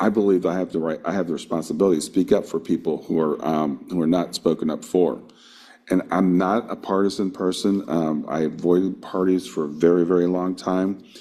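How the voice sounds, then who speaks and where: This man has a very deep, low pitch and a dark, mellow tone. He talks at a fairly quick pace with fairly even intonation. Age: 60s. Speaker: workshop panelist on spiritual activism. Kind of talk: workshop talk. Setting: video call.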